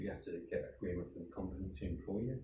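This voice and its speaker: A man with a Brummie accent talks at a very fast pace, somewhat breathy, in a very deep, low pitch with a dark, mellow tone. Room echo is audible. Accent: Brummie (Birmingham) English. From Birmingham, England. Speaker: charity founder. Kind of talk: interview. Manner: conversational.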